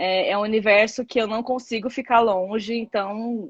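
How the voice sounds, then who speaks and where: The background is quiet. A woman talks at a moderate pace with a fairly high pitch. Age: 30s. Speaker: content creator, social media manager. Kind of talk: casual interview chat. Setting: Instagram live. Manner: halting, many fillers.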